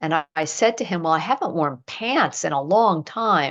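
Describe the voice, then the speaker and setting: Against a quiet background, a woman with an American accent talks at a fairly slow pace, her very deep, low pitch carried by lively intonation. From United States. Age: 60s. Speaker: acupuncture teacher. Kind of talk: interview chat. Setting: podcast.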